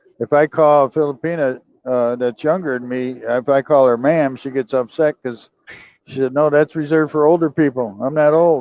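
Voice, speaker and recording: This man has an ordinary speaking voice with a fairly high pitch. His intonation stays fairly even at a moderate pace. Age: 60s. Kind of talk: casual chat.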